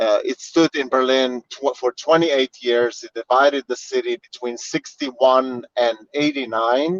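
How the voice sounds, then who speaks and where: With a Slovene accent, a man speaks at a medium pitch and moderate pace with fairly even intonation, in a dry, close sound with no echo. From Slovenia. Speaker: tour guide. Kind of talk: virtual guided tour. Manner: halting, many fillers.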